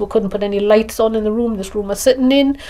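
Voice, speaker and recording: Noticeable background noise accompanies a woman whose voice is fairly high in pitch. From northern England, Northumberland. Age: 60s. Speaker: interviewee with visual impairment. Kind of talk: testimony. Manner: halting.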